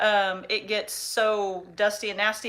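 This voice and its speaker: A woman's voice, fairly high in pitch. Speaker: farmer and family vlogger. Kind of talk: casual livestream chat. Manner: loud.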